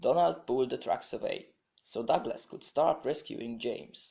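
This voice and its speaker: This man has a Hungarian accent. He speaks at a fairly slow pace. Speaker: hobby stop-motion animator and narrator. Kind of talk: read children's story narration.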